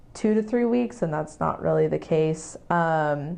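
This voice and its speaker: With an American accent, a woman speaks at a fairly slow pace in a very deep, low pitch with vocal fry and ordinary pitch variation. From Texas, Houston. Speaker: product manager working abroad. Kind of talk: interview. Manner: hesitant with fillers.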